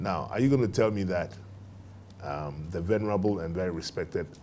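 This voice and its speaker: Over faint music in the background, a man with a very deep, low pitch talks at a moderate pace. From Ghana. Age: 50s. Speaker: bank managing director; guest. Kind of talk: interview before a live student audience. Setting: TV studio with live audience. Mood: earnest, thoughtful. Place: studio. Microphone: lapel.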